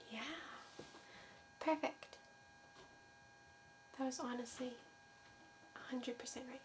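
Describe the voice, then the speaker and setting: A soft-spoken woman whispering at a moderate pace, with long, frequent pauses. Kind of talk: ASMR medical exam roleplay. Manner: soft-spoken, whispering.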